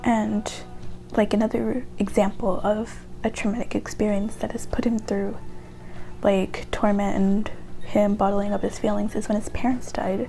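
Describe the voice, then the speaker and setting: A soft-spoken woman at a moderate pace. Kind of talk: casual talk to camera, opinion essay about a video game character. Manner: quiet, soft-spoken.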